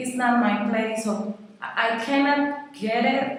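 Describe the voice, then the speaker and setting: In a Costa Rican accent, a woman speaks at a very slow pace with ordinary pitch variation, amid noticeable background noise and audible room echo. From Costa Rica, San Jose. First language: Spanish. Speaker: Spanish teacher. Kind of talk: interview. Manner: halting.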